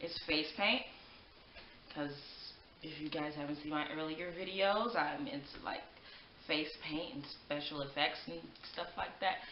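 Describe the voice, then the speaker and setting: A woman with a very deep, low pitch speaks at a fairly slow pace with ordinary pitch variation and long, frequent pauses, amid audible room echo and light background noise. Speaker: beauty vlogger. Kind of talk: makeup tutorial. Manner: projecting loudly; animated. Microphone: poor audio, microphone battery needs replacing; webcam.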